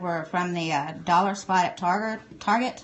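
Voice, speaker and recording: A woman with a Southern US accent and fairly even intonation. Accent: Southern US, country. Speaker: art supply reviewer. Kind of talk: live stream tutorial. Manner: casual, chatty.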